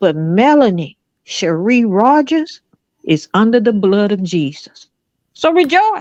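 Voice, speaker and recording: At a very slow pace, a woman speaks in a fairly high pitch with very wide pitch swings, keeping her loudness very even. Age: 60s. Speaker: pastor. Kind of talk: preaching in group chat. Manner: emphatic, sermon-like.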